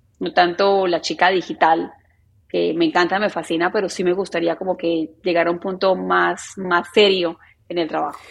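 Vocal fry marks this woman's fairly low voice. She keeps a moderate pace with monotone, flat intonation. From Colombia, Medellín. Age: 30s. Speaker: journalist. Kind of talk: interview conversation.

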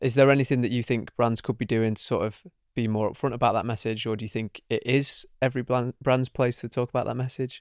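Talking at a very fast pace with hardly any pauses, a man with a Manchester accent keeps a monotone, flat intonation. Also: medium pitch for a man, dry, close sound with no echo, very clean recording, silent background. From Manchester, England. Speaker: podcast host, marketing agency founder. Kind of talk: interview.

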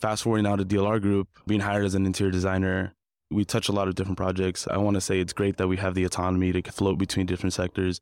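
A man with an American accent talks very fast in a very deep, low voice with monotone, flat intonation. The recording is very clean with a silent background and a dry, close sound with no echo. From Compton, California, US. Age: 20s. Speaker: interior designer. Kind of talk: interview conversation. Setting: live event podcast studio.

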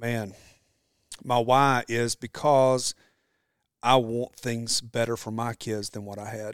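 Delivered in a Southern US accent at a very slow pace, with long, frequent pauses, big swings in loudness and monotone, flat intonation. The sound is dry and close with no echo, in a very clean recording with a silent background. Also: man, medium pitch for a man. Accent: US South. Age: 40s. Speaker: entrepreneur and former firefighter. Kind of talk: casual interview. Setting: in person at his shop.

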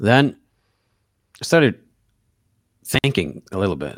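In a very clean recording with a silent background and a dry, close sound free of echo, a man talks at a fairly quick pace with lively intonation. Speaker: golf course manager. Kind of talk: casual chat.

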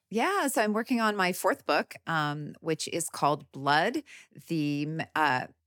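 Speaking at a fairly slow pace, a woman with a Canadian accent has a normal speaking voice, fairly low in pitch, and lively intonation. The recording is very clean, with a silent background. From Canada, Midwest (prairies). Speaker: gynecologist and author. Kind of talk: interview.

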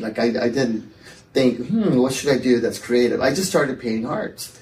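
A man with an American accent speaks in an ordinary speaking voice. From Texas. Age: 40s. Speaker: artist and gallery owner. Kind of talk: casual interview chat. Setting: in-person studio recording with hosts.

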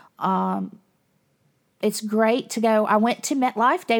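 A woman with a Southern US accent talks slowly, at a fairly slow pace, in a fairly high voice with an animated tone. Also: very clean recording, silent background. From US South. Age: 50s. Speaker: podcast host. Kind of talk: casual monologue.

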